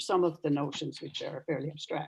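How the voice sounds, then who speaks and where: A woman with a Newfoundland accent speaks at a fairly low pitch with fairly even intonation. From Newfoundland, Canada. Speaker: retired professor of religion and ecology. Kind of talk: lecture. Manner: formal.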